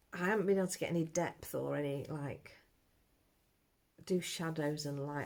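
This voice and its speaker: A quiet woman speaks at a fairly quick pace in a very deep, low voice. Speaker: amateur artist vlogger. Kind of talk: casual vlog. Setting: at home, early morning. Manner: quiet, low-pitched talk.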